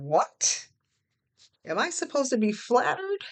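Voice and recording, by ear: A woman puts on a character voice, fairly high-pitched and fairly bright, speaking slowly with very wide pitch swings.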